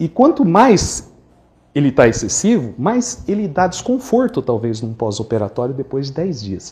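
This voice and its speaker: The voice has a dark, mellow tone, moves at a fairly slow pace, and shows very wide pitch swings. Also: man. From interior of Brazil. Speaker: dental surgeon. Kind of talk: lecture.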